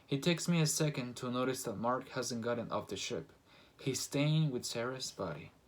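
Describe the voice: This recording is plain reading aloud.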